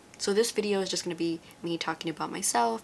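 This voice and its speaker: A woman talks very fast with an American accent. Her pitch sits fairly low. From US West Coast, Los Angeles. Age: 20s. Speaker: beauty vlogger. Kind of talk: casual vlog monologue while doing makeup.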